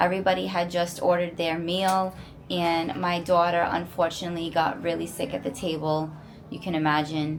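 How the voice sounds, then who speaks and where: There is noticeable background noise behind this woman. She speaks at a moderate pace in a fairly low pitch with ordinary pitch variation. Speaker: family vlogger. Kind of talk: casual vlog update to camera. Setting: resort hotel room.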